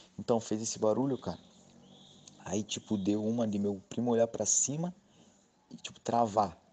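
A man's fairly low voice at a moderate pace, ordinary pitch variation, long, frequent pauses. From Vale do Ribeira, São Paulo state, Brazil. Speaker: listener sharing a story. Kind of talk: casual personal testimony.

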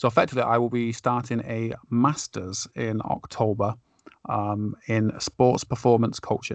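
A man with a slight northern English accent, medium in pitch, fairly slow, with fairly even intonation. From Lancashire, northern England. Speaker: podcast host, sports performance coach. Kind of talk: casual conversational podcast discussion.

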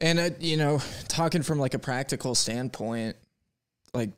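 Moderate pace and ordinary pitch variation from a man. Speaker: podcast host. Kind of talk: casual chat. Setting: online audio room. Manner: animated.

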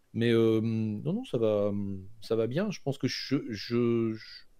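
Speaking at a very slow pace, a man with a fairly low pitch has a dark, mellow tone and ordinary pitch variation. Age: 50s. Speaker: computer science teacher. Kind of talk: interview. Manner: halting.

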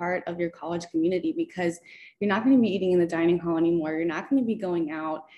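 A woman's medium-pitched voice with ordinary pitch variation, with music in the background. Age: 20s. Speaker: bikini competitor. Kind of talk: casual chat.

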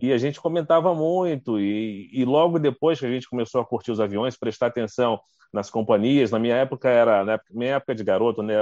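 Against a quiet background, a man speaks in an unremarkable speaking voice at medium pitch. His intonation is lively, and the sound is dry and close with no echo. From Rio de Janeiro state, Brazil (Duque de Caxias). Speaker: TV journalist and news anchor. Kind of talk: casual interview chat. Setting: live video stream.

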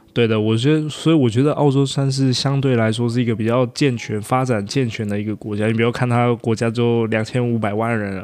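At a fairly quick pace and with hardly any pauses, a man speaks in a medium pitch with fairly even intonation. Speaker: podcast guest, working holiday resident. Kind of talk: casual chat.

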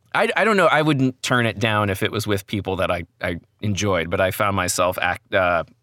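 On a very clean recording with a silent background, a man with an American accent talks in a fairly low pitch. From New Jersey. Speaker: voice actor. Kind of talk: casual chat.

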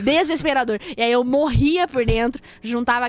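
With noticeable background noise behind her, a woman speaks at a moderate pace and high pitch. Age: 20s. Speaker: social media content creator. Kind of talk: casual chat. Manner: talkative.

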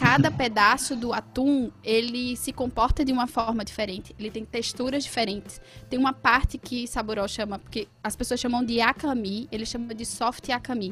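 Pitched high, a woman talks at a moderate pace with fairly even intonation and hardly any pauses. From Pernambuco agreste, Brazil. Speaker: chef. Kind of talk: casual interview.

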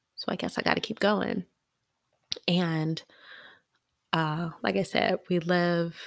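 A woman talks at a fairly slow pace in a fairly low pitch, on a very clean recording with a silent background. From US South. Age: 30s. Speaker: podcast host. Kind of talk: personal storytelling monologue. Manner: hesitant, frequent ums.

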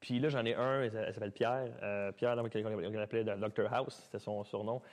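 Here a man speaks at a medium pitch. His intonation is fairly even, and the background is quiet. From Quebec (Mont-Saint-Hilaire). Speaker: dancer and dance studio owner. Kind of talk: casual chat. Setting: studio with live audience. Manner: fast.

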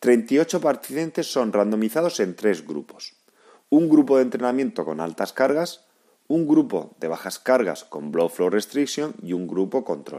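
This man's tone is dark and mellow. He talks at a fairly slow pace with very wide pitch swings. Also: medium pitch for a man. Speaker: physiotherapist and podcast host. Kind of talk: scripted narration. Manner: formal.

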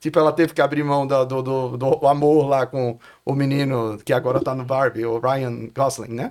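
This man talks at a moderate pace with a medium pitch and a monotone, flat intonation. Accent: Brazilian. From Brazil, Pernambuco (Olinda/Recife). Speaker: filmmaker and author. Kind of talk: casual interview chat. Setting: studio.

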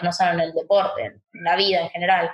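Somewhat breathy speech from a woman, at a moderate pace. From Argentina, Chaco. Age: 20s. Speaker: paralympic swimmer. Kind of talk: interview.

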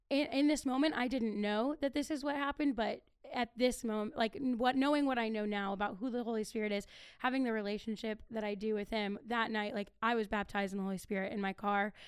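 A woman's unremarkable speaking voice with an American accent, fairly high and fairly quick, with ordinary pitch variation. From Ohio (Akron). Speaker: youth ministry podcast co-host. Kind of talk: testimony.

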